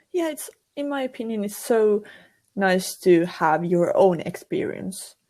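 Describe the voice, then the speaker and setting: A woman with a Finnish accent talks at a fairly slow pace with a medium pitch and very wide pitch swings. Her tone is dark and mellow. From Finland. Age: 20s. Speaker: university student and streamer. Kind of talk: casual podcast interview. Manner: halting.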